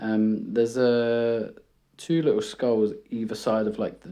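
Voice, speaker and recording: A man's medium-pitched voice in a dark, mellow tone, with a British accent. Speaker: art YouTuber. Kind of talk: casual chat. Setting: home room. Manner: rambling, hesitant.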